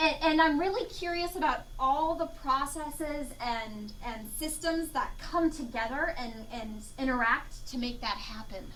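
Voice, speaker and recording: Raised and projected, a woman's high, bright, sharp voice moves at a fairly slow pace with lively intonation, big swings in loudness and hardly any pauses, in a room with audible echo. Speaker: entomology professor. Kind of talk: lecture.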